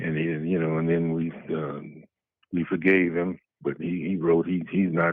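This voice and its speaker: A man speaks softly at a fairly slow pace. His pitch is very deep and low, and his intonation is monotone and flat. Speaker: churchgoing ex-Marine caller. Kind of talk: casual chat. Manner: peaceful, soft-spoken; halting, many fillers.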